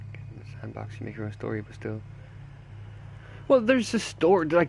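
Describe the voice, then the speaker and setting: A man with an Irish accent talks at a fairly quick pace with an animated tone and big swings in loudness. He leaves long, frequent pauses. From Ireland. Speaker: gaming streamer. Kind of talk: live gameplay stream chat. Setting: livestream. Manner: casual, animated.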